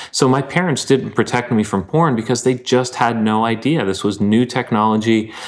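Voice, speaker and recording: Here a man with an unremarkable speaking voice talks at a moderate pace, with ordinary pitch variation and hardly any pauses. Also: medium pitch for a man. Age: 30s. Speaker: pastor and writer. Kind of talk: casual interview.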